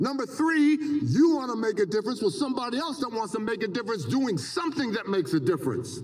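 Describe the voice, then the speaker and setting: A man's high-pitched, animated voice at a very fast pace, with very wide pitch swings and noticeable background noise. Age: 70s. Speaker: motivational speaker, professor. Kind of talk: commencement speech. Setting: stadium with audience.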